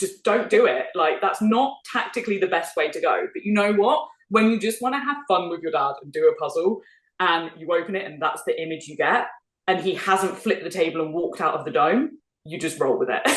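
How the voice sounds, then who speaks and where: With a British accent, a woman speaks at medium pitch and a fairly quick pace. Her intonation is lively, and her loudness swings widely. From United Kingdom. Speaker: speed puzzler. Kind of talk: casual interview chat. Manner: animated.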